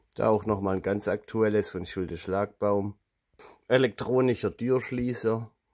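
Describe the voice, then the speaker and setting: Against a quiet background, the speech shows ordinary pitch variation. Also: man. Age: 30s. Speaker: video creator showing collected items. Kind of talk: show-and-tell haul video. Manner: animated. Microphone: phone near.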